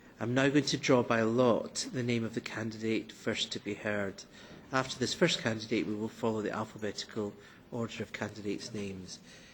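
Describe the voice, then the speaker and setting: A man speaks with a Scottish accent at a medium pitch and a moderate pace. His intonation stays fairly even. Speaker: committee chair. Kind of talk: formal committee proceedings. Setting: parliament committee meeting room. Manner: formal.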